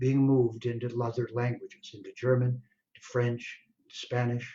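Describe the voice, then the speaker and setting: This man's somewhat breathy voice keeps a moderate pace. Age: 70s. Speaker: Vedic scholar and translator. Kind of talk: speech at online launch event.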